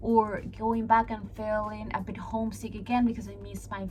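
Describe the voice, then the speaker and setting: A woman with a Peruvian accent at a moderate pace, with audible room echo and music in the background. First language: Spanish. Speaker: vlogger. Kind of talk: casual vlog talking to camera.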